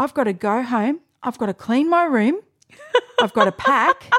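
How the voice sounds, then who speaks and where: With an Australian accent, a woman speaks at a moderate pace and fairly high pitch, her intonation lively. The sound is dry and close, with no echo. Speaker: podcast co-host. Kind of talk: casual chat. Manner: loud.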